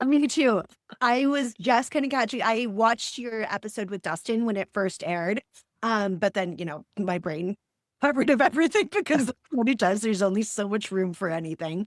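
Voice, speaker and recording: A woman with an American accent speaks at a fairly quick pace with lively intonation, in an ordinary speaking voice. The sound is dry and close, with no echo. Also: fairly high pitch for a woman, very clean recording, silent background. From Wyoming, US. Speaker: podcast host. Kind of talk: podcast interview.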